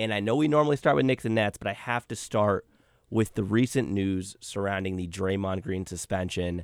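There is an unremarkable speaking voice from a man, pitched fairly low with ordinary pitch variation, at a moderate pace. The sound is dry and close with no echo, on a very clean recording with a silent background. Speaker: basketball podcast host. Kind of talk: casual sports discussion podcast. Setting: studio. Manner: relaxed, chatty.

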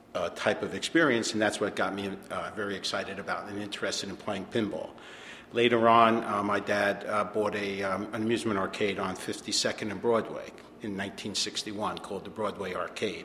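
A man with an American accent talks at a moderate pace in a fairly low pitch. His intonation is monotone and flat, with noticeable background noise. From New Jersey. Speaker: pinball showroom owner. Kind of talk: interview.

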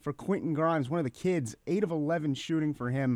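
On a very clean recording with a silent background, a man with a fairly high pitch speaks at a moderate pace. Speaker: podcast host. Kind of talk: casual sports podcast chat. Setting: studio.

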